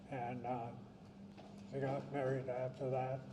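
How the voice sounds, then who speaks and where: Amid audible room echo, a man with an American accent and fairly high pitch speaks at a moderate pace in a monotone, flat manner. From southern California. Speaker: wartime evacuee recounting family history. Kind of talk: testimony. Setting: reunion gathering with audience. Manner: halting.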